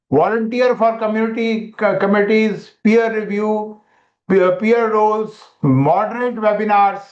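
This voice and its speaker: A man's high-pitched voice at a fairly slow pace, with very even loudness, fairly even intonation and audible room echo. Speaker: medical educator. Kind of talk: webinar lecture.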